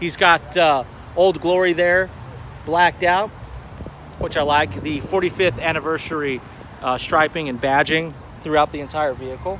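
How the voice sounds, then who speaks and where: A man with fairly high pitch and ordinary pitch variation takes long, frequent pauses. Noticeable background noise runs behind him. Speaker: car show vlogger. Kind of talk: live stream walkaround commentary. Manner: fast; casual, hesitant fillers.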